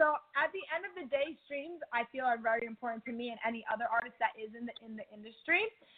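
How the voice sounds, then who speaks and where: Talking at a very fast pace with hardly any pauses, a woman with an American accent uses a high pitch, lively intonation and big swings in loudness. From New Jersey. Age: 20s. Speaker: singer. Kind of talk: casual interview.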